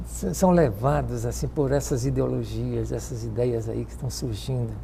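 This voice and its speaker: Audible room echo around a moderately paced male voice. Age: 70s.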